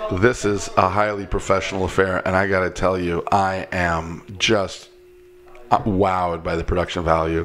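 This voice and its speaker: A man with a very deep, low pitch talks in a playful tone with monotone, flat intonation. Faint music plays in the background. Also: moderate pace. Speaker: kirtan singer; podcast guest. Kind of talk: casual chat. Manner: joking, playful. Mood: joking, playful. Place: home room. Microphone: studio mic.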